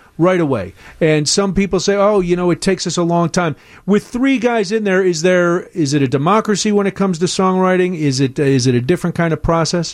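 A man with an American accent and a high voice talks at a fairly quick pace, with ordinary pitch variation and very even loudness. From US Midwest. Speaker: radio host. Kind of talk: casual chat. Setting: studio. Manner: animated.

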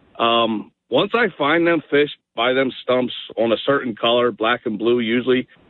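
At a moderate pace, a man with a medium pitch speaks in an excited tone, his loudness very even and his pitch varying in an ordinary way. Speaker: tournament bass angler. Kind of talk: radio interview.

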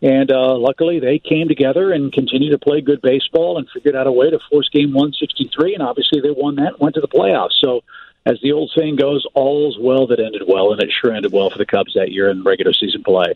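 With an American accent and a plain, everyday voice, a man speaks at a fairly high pitch. He moves at a fairly quick pace with hardly any pauses and ordinary pitch variation. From US Midwest, St. Louis. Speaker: baseball broadcaster. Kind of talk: radio interview.

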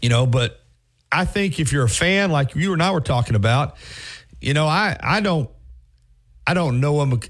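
A man with an American accent and a fairly high, somewhat breathy voice speaks at a moderate pace with lively intonation, very even loudness, and long, frequent pauses. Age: 50s. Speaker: sports radio host. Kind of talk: sports radio talk.

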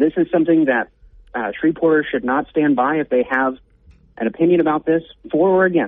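Fairly quick yet with long, frequent pauses, a man speaks at a fairly high pitch with ordinary pitch variation and very even loudness. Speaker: policy advocate. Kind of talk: interview.

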